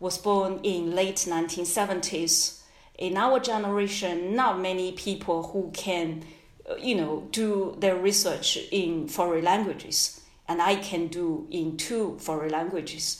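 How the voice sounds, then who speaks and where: A woman with a Chinese accent and medium pitch at a very slow pace, ordinary pitch variation, audible room echo and noticeable background noise. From China. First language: Mandarin Chinese. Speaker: history professor. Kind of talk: interview. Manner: halting.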